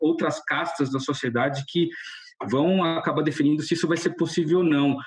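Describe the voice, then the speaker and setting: A man with a fairly high pitch and ordinary pitch variation talks at a moderate pace over noticeable background noise. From Brazil. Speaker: car designer. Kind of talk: podcast interview. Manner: casual, halting with false starts.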